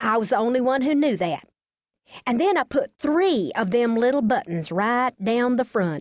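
A woman with a Texas accent speaks with high pitch, lively intonation and an animated, warm tone. The sound is dry and close with no echo. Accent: Texas twang. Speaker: audiobook narrator and storyteller. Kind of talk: scripted storytelling, audiobook memoir reading. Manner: animated, comic, expressive; folksy, warm, homespun storytelling.

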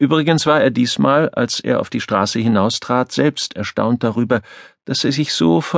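The voice has vocal fry and moves at a moderate pace. The sound is dry and close with no echo, over a quiet background. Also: man. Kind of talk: audiobook narration, reading aloud a novel.

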